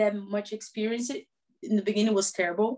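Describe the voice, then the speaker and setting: A woman with a Portuguese accent speaks in a fairly high voice. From Brazil, small town. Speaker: professional footballer. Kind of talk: interview.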